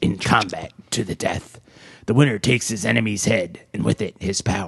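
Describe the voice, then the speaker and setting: A man's put-on character voice, raspy and fairly low, with a solemn, dramatic tone at a moderate pace. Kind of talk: announcer-like.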